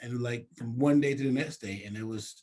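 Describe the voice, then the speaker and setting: A man talks with an American accent. His voice is somewhat breathy, with fairly even intonation. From US South, North Carolina coast. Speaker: city council member. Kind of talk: interview. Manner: casual, conversational.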